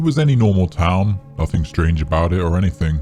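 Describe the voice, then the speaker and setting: A man's very deep, low voice at a fairly quick pace, ordinary pitch variation, music in the background. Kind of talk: horror story narration.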